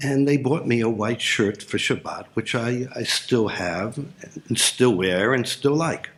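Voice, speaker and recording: A man speaks at a fairly slow pace, with a medium pitch and ordinary pitch variation. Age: 60s. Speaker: storyteller sharing personal faith stories. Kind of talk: personal story talk. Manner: halting, with frequent fillers.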